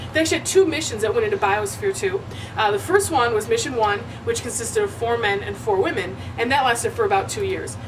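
A woman talks very fast, with noticeable background noise behind her. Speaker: comic tour host. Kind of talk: comedic mock-documentary monologue. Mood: sarcastic, playful. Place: hall.

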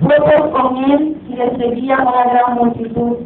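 A woman talks at a high pitch and a very slow pace. Audible room echo and light background noise surround her voice. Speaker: preacher. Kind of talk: sermon, scripture reading aloud. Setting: church. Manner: fervent, call-and-response style. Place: church. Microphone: camera far.

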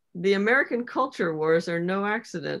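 A woman speaking at a moderate pace against a quiet background. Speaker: discussion moderator. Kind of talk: casual group discussion. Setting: video call. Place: home room. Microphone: video call.

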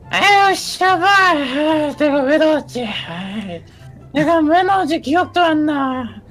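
Over clear background music, a woman puts on a high-pitched character voice at a fairly slow pace. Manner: forgetful, complaining.

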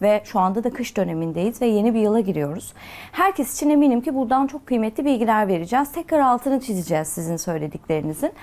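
Talking very fast with hardly any pauses, a woman uses a fairly high pitch and very wide pitch swings. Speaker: TV talk show host. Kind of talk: TV talk show interview. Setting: TV studio. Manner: polite, formal.

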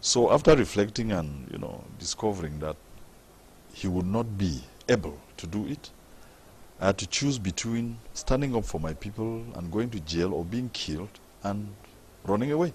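The speaker uses lively intonation at a moderate pace, sounding somewhat breathy. Long pauses come often. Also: man, fairly low pitch for a man. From Cameroon, northwest region (anglophone). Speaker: member of parliament. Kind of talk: TV interview.

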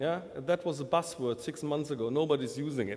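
A man with a German accent, a dark, mellow tone, ordinary pitch variation and a moderate pace. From Germany. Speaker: telecom vendor manager. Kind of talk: panel discussion. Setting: conference stage with audience. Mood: wry, lightly humorous. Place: hall. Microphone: podium.

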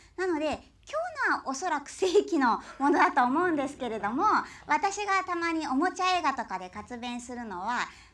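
The pace is moderate. This woman's pitch moves up and down very widely. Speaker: silent film narrator (benshi) and voice actor. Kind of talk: stage talk to audience at a film festival. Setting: live on stage, self-accompanying.

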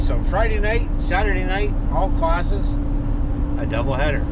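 A man talks over loud background noise. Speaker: racing vlogger. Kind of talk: casual vlog chat. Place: car. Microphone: phone near.

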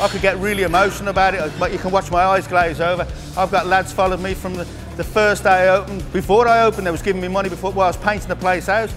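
Clear music plays behind a man talking at a very fast pace. His pitch is high and his intonation monotone and flat. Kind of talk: casual tour commentary. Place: gym. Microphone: lapel.

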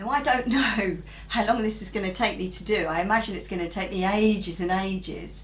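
A woman talks at a moderate pace. There is light background noise behind her. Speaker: craft channel host. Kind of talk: tutorial. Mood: cheerful, relaxed. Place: home room.

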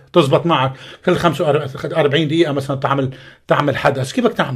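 A man talks at a moderate speed, and the background is quiet. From Lebanon. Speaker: actor. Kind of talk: radio interview. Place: studio. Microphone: studio mic.

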